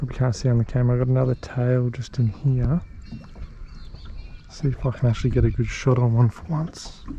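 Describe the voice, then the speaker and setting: There is noticeable background noise as a man speaks at a medium pitch with fairly even intonation. He leaves long, frequent pauses. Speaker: fishing vlogger. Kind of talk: casual vlog commentary. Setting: outdoors on a boat on a dam.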